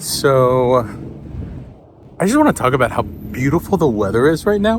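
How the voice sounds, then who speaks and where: Lively intonation carries this fairly slow speech, heard over noticeable background noise. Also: man. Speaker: vlogger. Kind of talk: casual vlog talk. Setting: outdoors.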